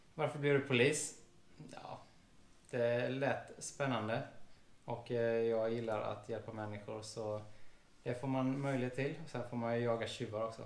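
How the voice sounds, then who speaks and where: A man talks with fairly even intonation over audible room echo. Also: medium pitch for a man, moderate pace. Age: 30s. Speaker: police officer and vlogger; vlogger. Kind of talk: casual chat. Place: home room.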